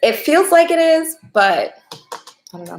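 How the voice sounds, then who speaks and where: Soft-spoken, a woman with a medium pitch talks at a moderate pace, her pitch swinging very widely. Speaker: tarot reader livestreamer. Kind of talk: live stream reading. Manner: casual.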